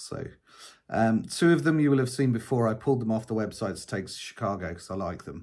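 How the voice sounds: At a fairly quick pace, a man speaks with fairly low pitch and ordinary pitch variation. His tone is slightly mellow.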